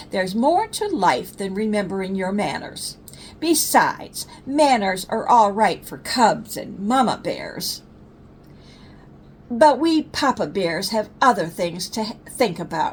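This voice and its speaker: Putting on a rumbling character voice, a woman speaks at medium pitch and a fairly slow pace. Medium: read story. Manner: grumbling.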